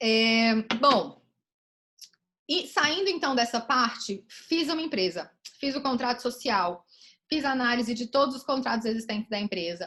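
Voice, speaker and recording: A woman speaks in a high pitch with a bright, sharp tone and lively intonation. She leaves long, frequent pauses. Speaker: lawyer giving a talk. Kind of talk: online lecture. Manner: fast.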